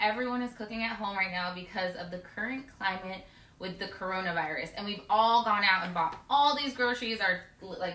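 A woman talks at a fairly quick pace with ordinary pitch variation, with audible room echo around her. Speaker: home cooking show host. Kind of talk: cooking show intro, casual. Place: kitchen. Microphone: camera far.

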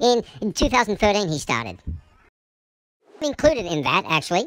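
A put-on character voice, fairly high in pitch, upbeat in tone, with very wide pitch swings and a fairly quick pace. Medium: role play. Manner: chatty, upbeat.

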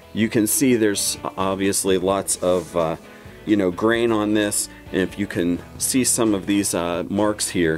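Faint music plays in the background as a man speaks fairly slowly in a very deep, low voice with ordinary pitch variation. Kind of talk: tutorial. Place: workshop.

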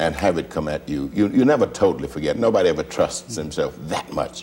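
A man is heard over light background noise. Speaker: interview guest, actor. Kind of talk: interview answer. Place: studio.

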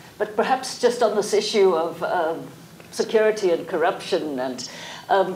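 Over faint background noise, a woman talks at a fairly low pitch with lively intonation. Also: moderate pace, slightly mellow tone.

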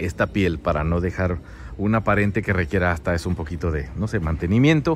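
Dry, echo-free audio of a man at a moderate pace, with music in the background. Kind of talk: site tour commentary. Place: street. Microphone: phone near.

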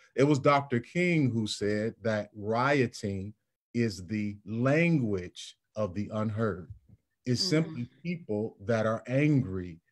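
Here a man speaks at a very slow pace. His intonation is lively. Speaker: pastor. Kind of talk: panel discussion. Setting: video call. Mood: earnest, reflective. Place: home room. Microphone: video call.

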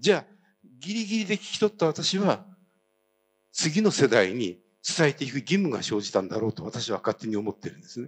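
Very wide swings in pitch from a man, his voice fairly high, the tempo fairly quick. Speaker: citizen historian, activist; speaker. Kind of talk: speech. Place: hall. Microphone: handheld.

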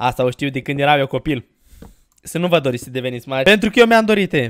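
A man speaks in an animated tone. His pace is fairly quick. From Romania. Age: 20s. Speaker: gaming YouTuber; gaming streamer. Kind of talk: Let's Play commentary; casual gameplay commentary.

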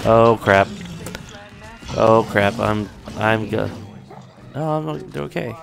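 Amid noticeable background noise, a man with a fairly low pitch speaks very slowly with lively intonation and long, frequent pauses. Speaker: let's play gamer. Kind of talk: gaming commentary.

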